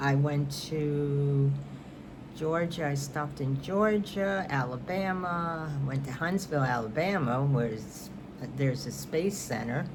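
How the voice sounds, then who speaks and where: A woman with a New York accent, very deep and low in pitch, with ordinary pitch variation and a fairly slow pace, amid noticeable background noise and audible room echo. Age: 70s. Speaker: knitting and crafts vlogger. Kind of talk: casual chat.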